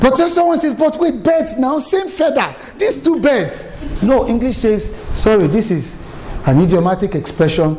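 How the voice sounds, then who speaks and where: A man speaks at a moderate pace in an extremely high pitch, his voice swinging very widely in pitch while its loudness stays very even, with audible room echo and noticeable background noise. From Nigeria, Lagos. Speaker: public speaking coach. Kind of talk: lecture.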